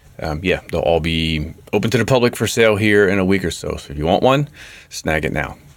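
A man talks at a fairly quick pace in a plain, everyday voice pitched fairly low. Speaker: podcast host. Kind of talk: podcast hosting, interview. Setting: studio.

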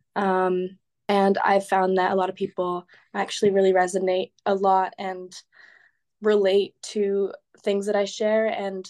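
Against a quiet background, a woman with an American accent speaks at a medium pitch. Her delivery is fairly slow, with monotone, flat intonation. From California. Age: 20s. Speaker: fitness influencer and student. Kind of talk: podcast interview. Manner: hesitant, many fillers.

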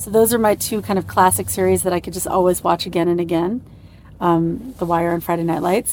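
A woman with an American accent speaks at a fairly quick pace. Her medium pitch shows ordinary variation. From US, New York. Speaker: TV showrunner. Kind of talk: interview in a moving car.

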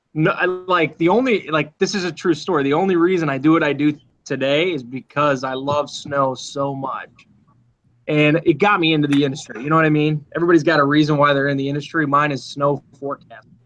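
A man with an American accent, a fairly high pitch and a fairly quick pace. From Minnesota. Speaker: TV meteorologist. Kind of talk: casual interview. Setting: video call from TV newsroom. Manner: animated.

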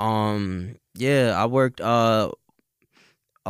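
Recorded very cleanly against a silent background, a man speaks with a New York accent in a fairly low, monotone voice with flat intonation. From New York, Staten Island. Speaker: rapper. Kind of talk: casual chat.

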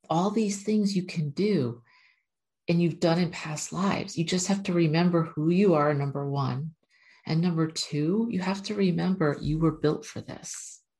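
Somewhat breathy and dark, mellow in tone, a woman's fairly low voice moves at a moderate pace with ordinary pitch variation. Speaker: spiritual channeler and numerology video host. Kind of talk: casual spiritual talk to camera with guided meditation and channeled message. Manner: talkative.

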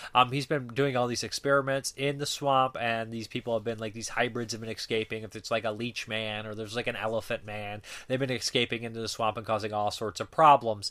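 A very fast, bright and sharp male voice of medium pitch, fairly even in intonation, on a very clean recording with a silent background. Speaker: film reviewer. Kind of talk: casual review monologue. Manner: casual with frequent fillers.

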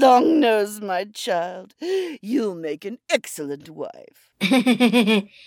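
In a put-on character voice, the speaker draws words out at a very slow pace with a fairly high pitch. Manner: cautious, cunning, doting.

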